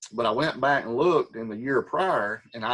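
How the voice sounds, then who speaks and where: A man at medium pitch, speaking at a fairly slow pace. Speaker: Sunday school teacher. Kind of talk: Bible study lesson.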